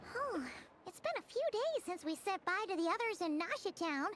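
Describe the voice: A woman puts on a character voice, extremely high-pitched with very wide pitch swings, at a moderate pace over clear background noise.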